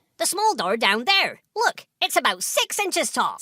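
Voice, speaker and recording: A put-on character voice at an extremely high pitch, very wide pitch swings, moderate pace. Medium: audio drama. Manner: friendly, hesitant.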